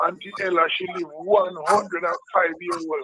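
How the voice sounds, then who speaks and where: The voice is raised and projected, moving at a fairly slow pace. Its intonation stays monotone and flat. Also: man. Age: 60s. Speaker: pastor and gospel recording artist. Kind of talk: personal testimony in a discussion show.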